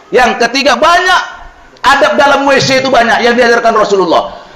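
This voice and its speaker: Loud and animated, a man speaks amid noticeable background noise and audible room echo. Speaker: Islamic preacher. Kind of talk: sermon.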